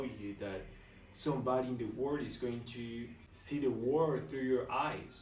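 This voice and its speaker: In a room with audible echo, a man speaks at a medium pitch and a moderate pace, his pitch varying in an ordinary way. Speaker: beginner YouTuber. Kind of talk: vlog monologue. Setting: alone in a room at home. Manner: whispering.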